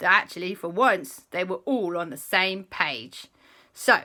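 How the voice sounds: The speaker uses a natural reading voice.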